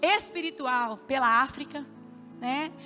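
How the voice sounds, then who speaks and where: A woman's raised, projected voice with ordinary pitch variation, over noticeable background noise. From Minas Gerais, Brazil (Belo Horizonte). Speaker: pastor. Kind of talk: sermon. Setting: church with congregation, livestreamed.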